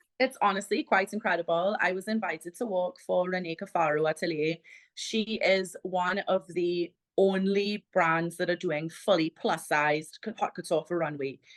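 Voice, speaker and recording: Against a quiet background, a woman with a Trinidadian accent speaks at a medium pitch with ordinary pitch variation, in a dry, close sound with no echo. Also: moderate pace. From Trinidad and Tobago. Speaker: plus-size model and content creator. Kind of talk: interview.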